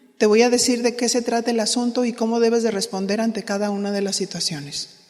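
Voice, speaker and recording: A woman at a fairly high pitch and a very fast pace, with fairly even intonation and noticeable background noise. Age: 60s. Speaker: pastor's wife teaching women leaders. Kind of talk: sermon-style teaching.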